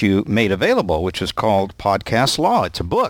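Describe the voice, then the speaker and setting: His pace is moderate and his pitch fairly low. The man talks in a plain, everyday voice. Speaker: podcast host. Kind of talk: interview. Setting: Skype call.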